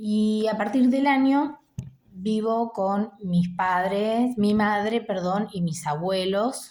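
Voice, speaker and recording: A woman speaks at a very slow pace with lively intonation in a very clean recording with a silent background. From Argentina, Buenos Aires province (Chascomús). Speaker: musician and video blogger. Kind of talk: unscripted personal monologue.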